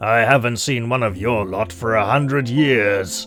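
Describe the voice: Pitch varies in an ordinary way as the text is read aloud plainly.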